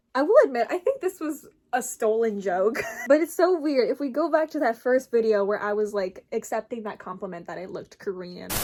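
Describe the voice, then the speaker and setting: A high-pitched woman with an American accent at a fairly quick pace, with very wide pitch swings and big swings in loudness. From Minnesota, USA. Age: 20s. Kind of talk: casual talk to camera.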